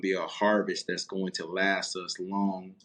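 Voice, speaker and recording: This man's voice is very deep and low, delivered at a moderate pace with monotone, flat intonation. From East Texas (Marshall), raised in Fort Worth. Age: 30s. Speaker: former college football player, loan officer and youth trainer. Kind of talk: podcast interview. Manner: halting, many fillers.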